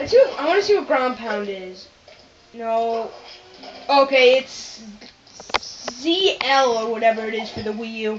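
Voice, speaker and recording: A woman at a fairly slow pace, with long, frequent pauses, ordinary pitch variation, big swings in loudness, and music in the background. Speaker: gamer. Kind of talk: let's play commentary. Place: home room. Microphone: phone near.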